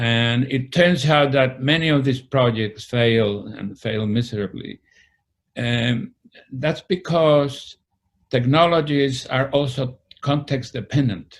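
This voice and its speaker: With a Spanish accent, the speaker goes at a very slow pace with ordinary pitch variation. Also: man, medium pitch for a man. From Spain, Madrid. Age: 70s. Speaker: retired historian. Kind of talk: interview. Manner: halting.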